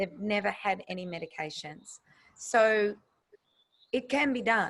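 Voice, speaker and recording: Speaking with an Australian accent, a woman talks at a fairly slow pace with a medium pitch and ordinary pitch variation. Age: 60s. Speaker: nutritionist. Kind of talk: interview. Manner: animated.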